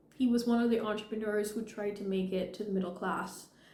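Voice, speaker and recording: A woman speaks at medium pitch with ordinary pitch variation. The room echo is audible. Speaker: video blogger, social commentary. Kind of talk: unscripted personal commentary.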